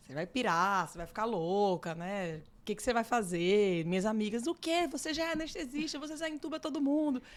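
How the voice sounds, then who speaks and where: A woman with a strong Natal accent talks at a fairly quick pace, her fairly high voice making very wide pitch swings. The recording is very clean, with a silent background. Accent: strong Northeastern Brazilian (Natal). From Brazil, Natal (Northeast). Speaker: psychiatrist. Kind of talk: interview.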